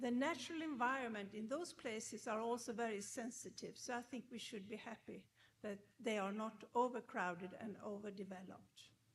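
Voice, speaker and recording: This woman talks at a fairly quick pace with a fairly high pitch. Her voice is somewhat breathy, with ordinary pitch variation. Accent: Swedish. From Sweden, Gothenburg. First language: Swedish. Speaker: professor. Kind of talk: lecture.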